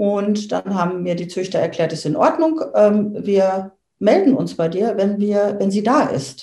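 A woman speaks at a fairly slow pace with a medium pitch. Her tone is dark and mellow, and her intonation lively. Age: 50s. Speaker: dog owner. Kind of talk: interview. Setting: in person, same room. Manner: hesitant, many fillers.

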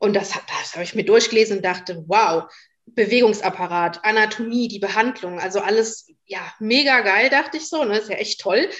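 In an ordinary speaking voice, a woman talks at a fairly high pitch and a moderate pace, with ordinary pitch variation and big swings in loudness. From Westerwald, western Germany. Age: 30s. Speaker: animal physiotherapist. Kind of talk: casual interview.

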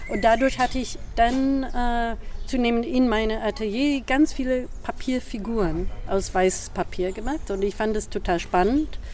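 A woman's fairly high-pitched voice, with ordinary pitch variation, carries audible room echo. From US Northeast (New York, Boston). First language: English (speaking German). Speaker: performance artist and choreographer. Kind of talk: casual interview. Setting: outdoors. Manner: halting, searching for words.

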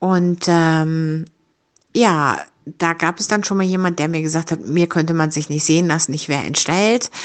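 A woman with a normal speaking voice talks at a fairly low pitch and a moderate pace. Her intonation is fairly even, and the background is quiet. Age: 50s. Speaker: rehab clinic service worker. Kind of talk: personal monologue, guest contribution.

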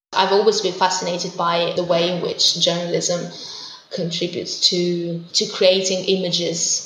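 A woman with an Italian accent talks at a fairly slow pace in a medium pitch. Audible room echo and noticeable background noise fill the recording. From southern Italy, Puglia. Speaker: interpreter and researcher. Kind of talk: interview. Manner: hesitant with fillers.

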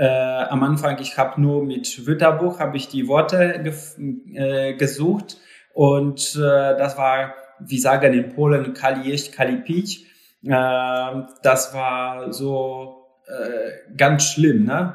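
A man with a Polish accent talks at a very slow pace. His fairly high voice keeps a fairly even intonation. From Poland, Lower Silesia. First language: Polish (speaking German). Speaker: live-in caregiver. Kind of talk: interview. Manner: halting.

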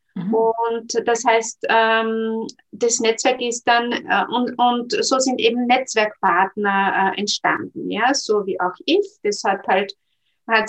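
This woman talks very slowly, her fairly high pitch showing ordinary pitch variation. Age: 40s. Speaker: network marketing entrepreneur and career counsellor. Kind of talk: interview. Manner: hesitant, many filler sounds.

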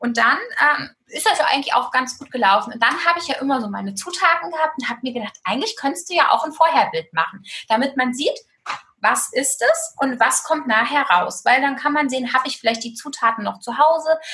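A woman's raised, projected voice, high in pitch, bright and sharp in tone, with lively intonation. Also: fairly quick pace. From Germany, eastern Hesse. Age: 30s. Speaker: food blogger and nutritionist. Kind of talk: casual interview.

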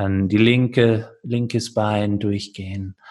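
A man's somewhat breathy voice. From California, USA. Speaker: yoga teacher. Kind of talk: interview; guided meditation instructions.

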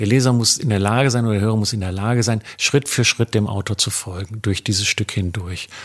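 A man at a very fast pace with ordinary pitch variation, on a very clean recording with a silent background. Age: 60s. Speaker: journalist. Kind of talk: interview.

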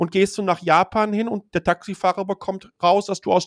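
Recorded with a dry, close sound and no echo, a man speaks at a moderate pace in a high pitch. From Germany, Ruhr area (Dortmund). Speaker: tech blogger and communications executive. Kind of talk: casual interview chat.

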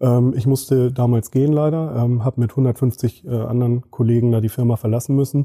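A man talks at a moderate pace with hardly any pauses, his intonation monotone and flat and his loudness very even. His tone is dark and mellow, somewhat breathy, with a dry, close sound and no echo. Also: medium pitch for a man. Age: 30s. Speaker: agency managing director. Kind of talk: interview.

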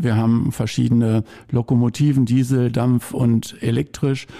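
In a dark, mellow tone, a man takes a fairly slow pace. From Lippe, eastern Westphalia, Germany. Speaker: railway association volunteer. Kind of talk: casual interview.

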